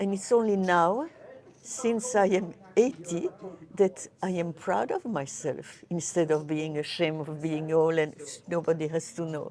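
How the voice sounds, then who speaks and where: Noticeable background noise behind a woman's fairly slow, fairly low-pitched speech with ordinary pitch variation. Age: 80s+. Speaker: poker player. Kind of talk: interview. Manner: halting.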